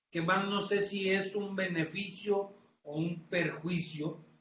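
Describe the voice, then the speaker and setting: A man's voice with audible room echo. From Tamaulipas, northern Mexico. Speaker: crime reporter. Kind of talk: interview.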